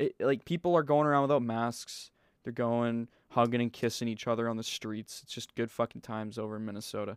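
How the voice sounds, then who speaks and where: Recorded very cleanly against a silent background, with a dry, close sound and no echo, a man of medium pitch speaks at a fairly quick pace in a plain, everyday voice. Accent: Canadian. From British Columbia, Canada. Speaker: podcast host. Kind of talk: casual chat.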